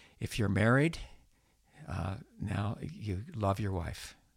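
A man's fairly low voice with vocal fry. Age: 70s. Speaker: pastor and professor. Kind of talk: interview conversation.

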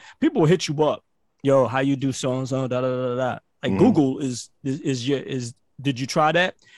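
A man with a fairly high pitch talks at a fairly quick pace with ordinary pitch variation, the sound dry and close with no echo. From Barbados, raised in Brooklyn. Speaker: podcast host and entrepreneur coach. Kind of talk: casual interview chat. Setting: radio studio. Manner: animated, repetitive false starts.

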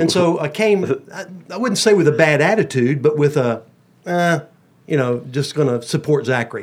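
Speaking at a moderate pace with lively intonation, a man with an American accent has a fairly high pitch and an ordinary speaking voice. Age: 60s. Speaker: pastor. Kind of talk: casual chat. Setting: studio.

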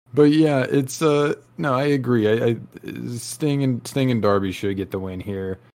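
A man speaks with a plain, everyday voice at a medium pitch. His pace is fairly slow, with ordinary pitch variation. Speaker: wrestling podcast co-host. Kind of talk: casual chat.

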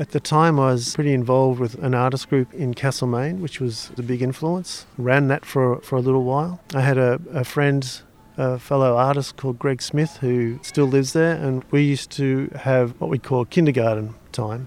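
A man with an Australian accent speaks at a moderate pace, his medium pitch held in fairly even intonation. He leaves hardly any pauses. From Australia (Victoria, Melbourne). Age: 60s. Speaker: sculptor. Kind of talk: interview. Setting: outdoors.

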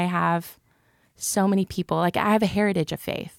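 A woman with a plain, everyday voice speaks in an American accent at a moderate pace, with ordinary pitch variation and a dry, close sound with no echo. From Texas, Cleburne. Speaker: youth ministry co-director. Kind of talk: casual chat.

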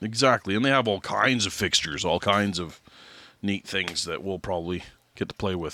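In a very clean recording with a silent background, a man with a Canadian accent speaks at a moderate pace in a very deep, low pitch with ordinary pitch variation. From Alberta, Canada. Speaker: podcast co-host, barbecue cook. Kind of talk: casual interview chat.

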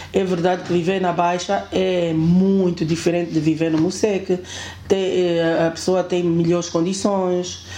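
A woman speaks in a fairly low, monotone, flat voice at a fairly slow pace. Audible room echo surrounds her. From Angola, Kwanza Sul and Luanda. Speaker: building manager. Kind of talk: casual chat. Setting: at home.

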